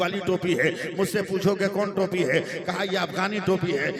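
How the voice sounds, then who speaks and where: This is a man with a high pitch. Noticeable background noise sits behind his voice. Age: 60s. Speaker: Islamic preacher. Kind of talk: sermon.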